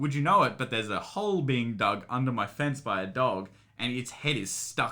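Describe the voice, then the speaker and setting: Bright and sharp in tone, a man speaks at a moderate pace with lively intonation. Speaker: podcast host. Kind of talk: casual chat.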